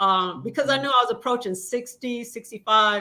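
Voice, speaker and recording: Here is a woman with a normal speaking voice. She talks at a fairly quick pace with ordinary pitch variation. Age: 60s. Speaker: panelist. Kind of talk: personal story.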